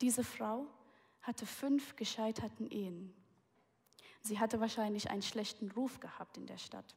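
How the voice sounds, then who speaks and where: A woman's fairly high, somewhat breathy voice keeps a fairly even intonation while its loudness swings widely, broken by long, frequent pauses. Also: moderate pace. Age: 20s. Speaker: guest preacher. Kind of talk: sermon.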